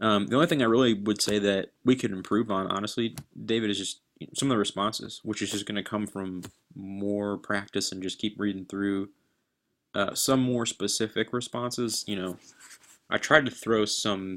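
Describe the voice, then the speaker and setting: In a very clean recording with a silent background, a man with a plain, everyday voice talks at a moderate pace, his pitch fairly low and his intonation fairly even. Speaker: real estate sales coach. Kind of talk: coaching feedback.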